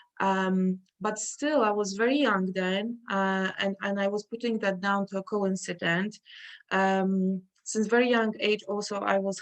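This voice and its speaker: A woman with a Polish accent speaks at a fairly slow pace in a medium pitch, her intonation fairly even against a quiet background. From Poland. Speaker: artist. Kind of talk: interview. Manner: halting.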